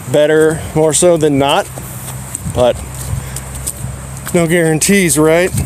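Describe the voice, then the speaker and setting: A man at a fairly high pitch and very slow pace, with fairly even intonation, long, frequent pauses and noticeable background noise. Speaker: gun channel livestreamer. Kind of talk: casual live stream chat. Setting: outdoor shooting range. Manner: loud, talking over earplugs.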